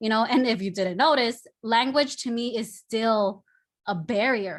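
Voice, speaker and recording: A woman with a Spanish accent at a fairly slow pace, ordinary pitch variation, very clean recording and silent background. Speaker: artist. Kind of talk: panel discussion.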